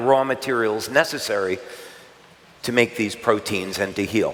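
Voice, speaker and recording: Noticeable noise runs behind a man whose medium-tempo speech has normal pitch movement. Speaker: product educator. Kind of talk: presentation. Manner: hesitant fillers.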